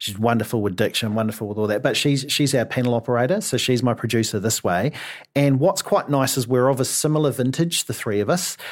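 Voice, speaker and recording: Very fast delivery with ordinary pitch variation. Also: man, medium pitch for a man. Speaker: radio host. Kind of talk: interview.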